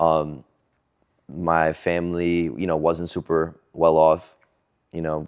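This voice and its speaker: Over a quiet background, a man speaks at a very slow pace in a very deep, low pitch, his intonation monotone and flat, with long, frequent pauses. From New York City, Ozone Park, Queens. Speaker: hip hop artist and spoken word poet. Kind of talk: interview chat. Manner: casual, many fillers and restarts.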